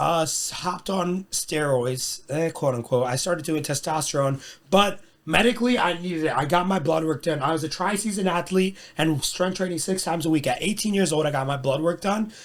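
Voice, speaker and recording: With a plain, everyday voice, this man talks at a fairly quick pace. His pitch is fairly high, with ordinary pitch variation. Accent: American. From US. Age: 20s. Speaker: personal trainer. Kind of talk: casual chat.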